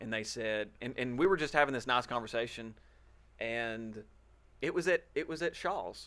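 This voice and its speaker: This man has a medium-pitched voice with a bright, sharp tone and ordinary pitch variation, recorded very cleanly against a silent background. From Alabama, small town. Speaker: podcast co-host. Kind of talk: casual chat.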